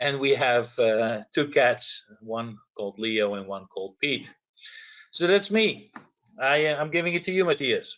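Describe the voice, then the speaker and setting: A man speaks with a Dutch accent. His pitch swings very widely. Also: fairly high pitch for a man, fairly slow pace. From Netherlands. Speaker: industry manager, electrical engineer. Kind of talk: webinar self-introduction.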